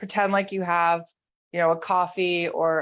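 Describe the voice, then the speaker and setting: At a moderate pace, a woman speaks at a fairly low pitch on a very clean recording with a silent background. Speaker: mobility instructor. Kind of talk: guided exercise class.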